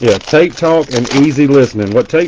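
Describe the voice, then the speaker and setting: Here a man talks at a fairly quick pace in a Southern US accent. Noticeable background noise can be heard. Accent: Southern US twang. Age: 40s. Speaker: card breaker streamer. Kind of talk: live stream card break commentary. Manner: casual, chatty.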